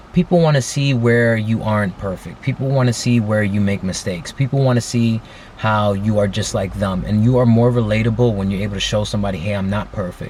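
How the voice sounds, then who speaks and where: A man talks at a fairly quick pace with hardly any pauses, his pitch fairly low with ordinary variation. Noticeable background noise runs beneath him. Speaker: vlogger. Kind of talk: casual vlog monologue. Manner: stutters, halting; excited.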